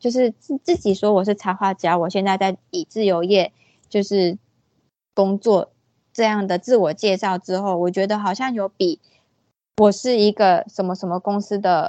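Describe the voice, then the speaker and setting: Her medium-pitched voice moves at a moderate pace as the woman speaks. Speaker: freelance illustrator. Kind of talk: casual interview. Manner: hesitant, many fillers.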